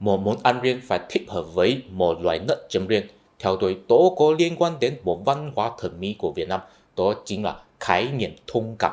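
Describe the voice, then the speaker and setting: Moderate pace in a Chinese accent, with very wide pitch swings. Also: man. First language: Chinese (speaking Vietnamese). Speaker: YouTuber, culture commentator. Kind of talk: explanatory video essay.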